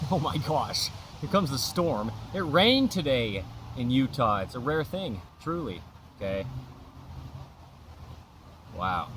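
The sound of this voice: Speaking slowly with long, frequent pauses, a man uses a medium pitch and a fairly bright tone, swinging widely in pitch.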